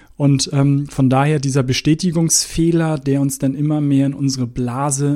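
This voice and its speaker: A man speaks at a moderate pace with a fairly high pitch and a dark, mellow tone. His intonation is monotone and flat. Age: 40s. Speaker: podcast host. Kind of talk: solo podcast talk. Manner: casual with fillers.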